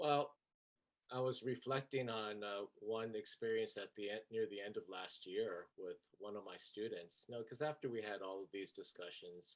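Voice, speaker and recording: A man speaks in a plain, everyday voice. His pace is moderate and his pitch varies in an ordinary way. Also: medium pitch for a man. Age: 60s. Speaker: elementary school teacher. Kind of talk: personal anecdote in panel.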